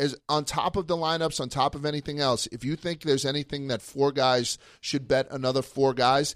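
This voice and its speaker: A man speaks with fairly even intonation, the sound dry and close with no echo. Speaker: radio host. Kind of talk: casual banter. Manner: profane, joking.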